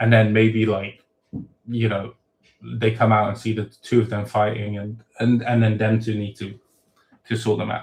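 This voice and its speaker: A man talks in a fairly low, somewhat breathy voice with flat, monotone intonation. His pace is moderate, broken by long, frequent pauses. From Thailand. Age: 30s. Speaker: web novel author. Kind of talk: live Q and A stream. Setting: livestream. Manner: casual, many fillers and false starts.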